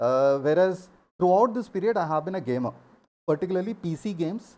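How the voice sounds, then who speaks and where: A man speaks with an Indian accent and lively intonation. His high voice has a dark, mellow tone. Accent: Indian English, Telugu. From India, Andhra Pradesh. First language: Telugu. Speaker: gaming streamer. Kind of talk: live stream talk.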